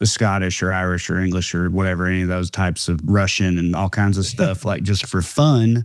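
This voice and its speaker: With a strong Southern US accent, a man talks at a moderate pace in a fairly low pitch. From rural Tennessee. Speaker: comedian. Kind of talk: casual interview chat.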